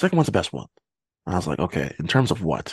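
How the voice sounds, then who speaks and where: Racing at a very fast pace, a man speaks with lively intonation, the sound dry and close with no echo. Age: 20s. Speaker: podcast host. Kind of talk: casual chat.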